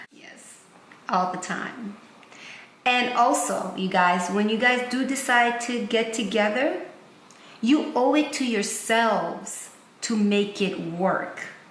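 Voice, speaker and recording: A woman with a non-native accent at a fairly high pitch and very slow pace, with long, frequent pauses, big swings in loudness, audible room echo and noticeable background noise. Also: ordinary pitch variation. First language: not English. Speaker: married couple relationship vlogger. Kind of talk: casual advice chat.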